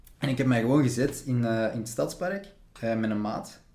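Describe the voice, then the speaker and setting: A man's dark, mellow tone with audible room echo. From Flanders, near Antwerp. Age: 20s. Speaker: actor and film student. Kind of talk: casual chat.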